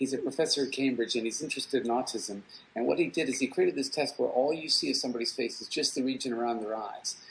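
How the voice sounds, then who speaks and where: A man with an American accent, medium pitch, a very fast pace and fairly even intonation. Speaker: psychology professor. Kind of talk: guest talk answering questions.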